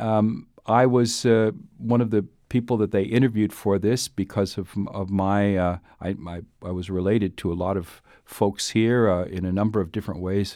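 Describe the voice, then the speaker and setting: Over a quiet background, a man with an American accent speaks at a fairly low pitch in a dark, mellow tone with fairly even intonation. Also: moderate pace. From US Upper Midwest, Duluth, Minnesota. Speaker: bishop. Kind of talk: interview. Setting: studio. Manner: halting, many fillers and repetitions.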